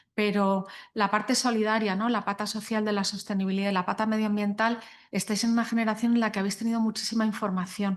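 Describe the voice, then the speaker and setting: A woman speaks very fast at a fairly high pitch, in a monotone, flat intonation. Her loudness stays very even over a quiet background. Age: 60s. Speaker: guest speaker on sustainability and law. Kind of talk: panel talk to young lawyers. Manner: hesitant, many fillers.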